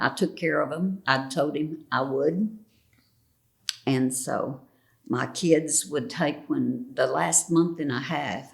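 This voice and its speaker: Very slow speech with vocal fry, lively intonation and a Texas accent. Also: woman, very deep, low pitch for a woman. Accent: Southern US (Texas). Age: 80s+. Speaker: retired educator. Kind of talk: interview answer.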